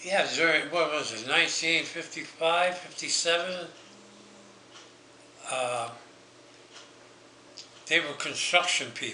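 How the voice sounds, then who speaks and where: High-pitched man at a fairly slow pace, long, frequent pauses, ordinary pitch variation and noticeable background noise. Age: 80s+. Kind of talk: family reminiscence interview.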